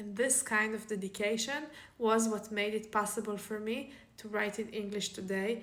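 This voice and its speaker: Over audible room echo, a woman with an Israeli accent speaks at a moderate pace in a fairly high pitch with monotone, flat intonation. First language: Hebrew. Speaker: author. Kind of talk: casual vlog talk.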